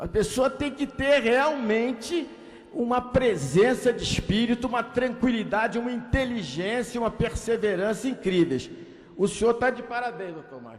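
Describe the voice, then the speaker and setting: A man's extremely high-pitched voice with ordinary pitch variation, against noticeable background noise. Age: 60s. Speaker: politician. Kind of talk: ceremonial speech. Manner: halting.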